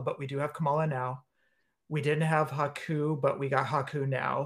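Recorded very cleanly against a silent background, a man with an American accent speaks in a fairly high, somewhat breathy voice with fairly even intonation. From US West Coast, San Leandro, California. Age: 40s. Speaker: wrestling figure podcast host. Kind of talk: casual chat.

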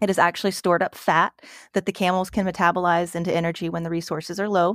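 A woman's plain, everyday voice at a fairly quick pace, with a dry, close sound and no echo. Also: very clean recording, silent background. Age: 40s. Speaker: zookeeper. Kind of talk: casual chat.

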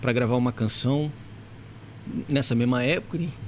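A man talking at a very fast clip. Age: 40s. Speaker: musician and studio owner. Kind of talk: casual chat.

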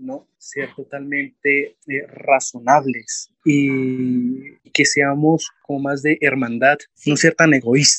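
A man speaking at a very slow pace, with fairly even intonation. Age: 20s. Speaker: environmental engineer and climate network director. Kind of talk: interview. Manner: halting.

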